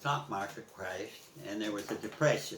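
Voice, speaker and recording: Lively intonation marks this man's speech with an American accent, heard over noticeable background noise. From US Midwest, East Chicago, Indiana. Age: 80s+. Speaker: war veteran. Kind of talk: oral history interview. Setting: at home. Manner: halting.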